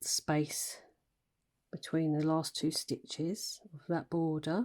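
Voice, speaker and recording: A woman speaks at a very slow pace in a very deep, low pitch. Her tone is dark and mellow, and her intonation fairly even. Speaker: crochet designer and tutor. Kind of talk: crochet tutorial instruction.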